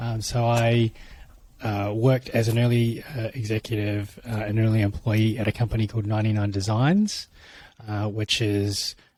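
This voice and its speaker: A man's somewhat breathy, dark, mellow voice at medium pitch, with a New Zealand accent, moderate pace, and a very clean recording over a silent background. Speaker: tech executive for creator platforms. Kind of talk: podcast interview. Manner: halting, many fillers.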